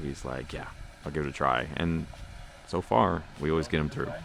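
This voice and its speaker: Soft-spoken and calm, a man with a very deep, low voice talks at a fairly quick pace with fairly even intonation over noticeable background noise. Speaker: off-road channel host. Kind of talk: vlog narration.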